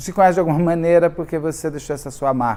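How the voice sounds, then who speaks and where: A man's high voice with ordinary pitch variation. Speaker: true crime youtuber. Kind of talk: casual monologue. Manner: halting.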